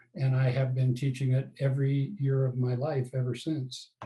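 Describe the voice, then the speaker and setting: A man talks with an American accent and a dark, mellow tone. His voice is somewhat breathy. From Colorado, US. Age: 70s. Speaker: tennis coach and author. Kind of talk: interview.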